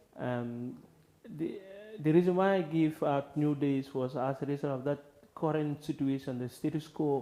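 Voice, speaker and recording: At a moderate pace, a man talks with a dark, mellow tone and fairly even intonation. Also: fairly high pitch for a man. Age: young. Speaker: poet. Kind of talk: interview answer. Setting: studio.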